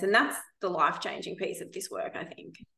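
Medium in pitch, a woman talks at a very fast pace. Room echo is audible. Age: 30s. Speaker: podcast host. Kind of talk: casual chat.

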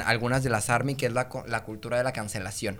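Music plays behind a man talking at a moderate pace. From Mexico, Monterrey. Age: 20s. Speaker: singer and content creator. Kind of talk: casual chat.

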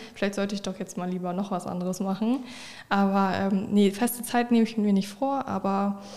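A woman speaks at a medium pitch with a dark, mellow tone and fairly even intonation. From northern Germany, Oldenburg. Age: 20s. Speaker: streamer and content creator. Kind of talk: casual interview.

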